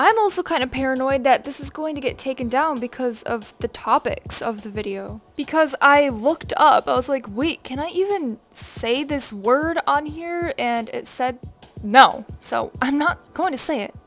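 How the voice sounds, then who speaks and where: The delivery runs at a moderate pace with hardly any pauses. Its intonation is lively. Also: woman, high pitch for a woman. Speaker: commentary youtuber. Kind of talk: casual commentary monologue. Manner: casual, filler-heavy.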